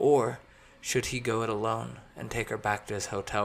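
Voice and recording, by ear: With fairly even intonation, this is reading aloud in a natural voice.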